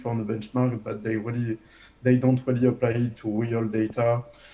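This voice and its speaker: Speaking in a monotone, flat intonation, a man with a French accent keeps a moderate pace and a medium pitch. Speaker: habilitation reviewer. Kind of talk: academic defense review. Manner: halting, many fillers.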